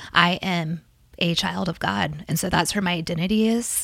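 With vocal fry and a bright, sharp tone, a woman speaks at a moderate pace and a fairly low pitch, her pitch varying in an ordinary way. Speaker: pastor's wife, blogger.

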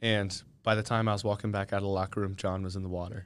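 This man has a fairly low pitch and fairly even intonation. The recording is very clean, with a silent background. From Chester County, Pennsylvania. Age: 20s. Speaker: college swimmer. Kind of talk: casual interview. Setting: studio. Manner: hesitant, many fillers.

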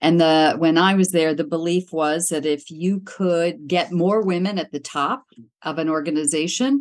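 A woman speaks with an American accent in a plain, everyday voice. Her pitch is fairly low, with ordinary variation, and her pace is moderate. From western Pennsylvania, Pittsburgh area. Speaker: executive search consultant. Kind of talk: interview.

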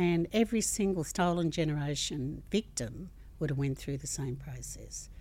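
With an Australian accent, a woman speaks at a moderate pace in a very deep, low voice with vocal fry, a dark, mellow tone, ordinary pitch variation and big swings in loudness. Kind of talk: interview.

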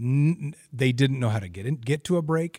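Here a man speaks with an American accent, his voice somewhat breathy and his intonation lively. The recording is very clean, with a silent background. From Oregon, Albany. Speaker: sports broadcaster. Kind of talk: casual chat.

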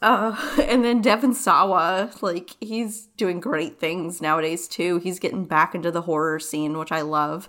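A woman with a plain, everyday voice speaks at a fairly slow pace in a fairly low pitch, her intonation lively and her speech with hardly any pauses. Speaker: podcast co-host. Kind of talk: casual chat.

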